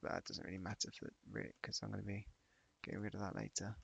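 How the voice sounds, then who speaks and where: A man speaks quietly in a dry, close recording with no echo. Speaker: 3D modeling streamer. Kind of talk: live tutorial stream narration. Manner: casual, hesitant.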